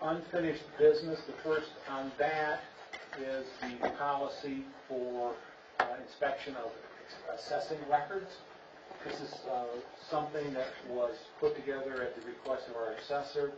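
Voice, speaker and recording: Amid noticeable background noise, a man speaks at a moderate pace with fairly even intonation and long, frequent pauses. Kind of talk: meeting agenda briefing. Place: meeting room. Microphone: camera far.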